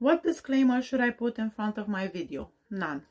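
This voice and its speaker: This is a very clean recording with a silent background. A woman speaks at a moderate pace with ordinary pitch variation. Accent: non-native. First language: not English. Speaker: true crime YouTuber giving advice. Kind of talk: Q&A advice talk.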